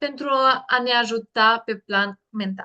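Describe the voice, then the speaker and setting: Her tone bright and sharp, the woman talks at a fairly high pitch that moves by a normal amount. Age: 20s. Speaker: essential oils presenter. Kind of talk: online workshop presentation.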